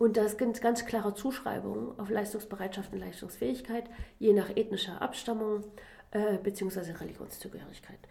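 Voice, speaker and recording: A woman talks at a moderate pace with a fairly high pitch and fairly even intonation. Noticeable background noise runs behind her. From Germany. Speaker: political science professor. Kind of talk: interview.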